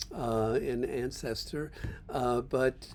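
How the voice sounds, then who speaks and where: A man's medium-pitched voice, dark and mellow in tone, with fairly even intonation. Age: 80s+. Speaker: political commentator. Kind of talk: casual monologue. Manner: halting, many fillers and restarts.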